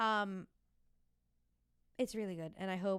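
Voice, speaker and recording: With an American accent, a woman speaks in an animated tone. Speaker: podcast host and fitness instructor. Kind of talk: casual solo podcast chat. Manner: fast.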